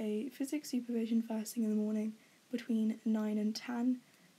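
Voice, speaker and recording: Her dark, mellow tone sits at a fairly high pitch as a woman with an English accent speaks in a monotone, flat intonation. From England. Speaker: university student. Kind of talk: casual talk to camera.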